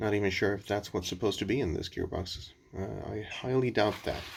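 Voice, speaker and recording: With ordinary pitch variation, a man speaks at a moderate pace in a fairly low pitch. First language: not English. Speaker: car DIY reviewer. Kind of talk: product review tutorial. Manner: halting, many fillers.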